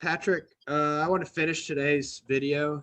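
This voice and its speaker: Very slowly, a man talks in a bright, sharp tone at a fairly high pitch, with ordinary pitch variation. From US Midwest, Ohio. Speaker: football podcast host. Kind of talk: casual chat. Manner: halting, many fillers and restarts.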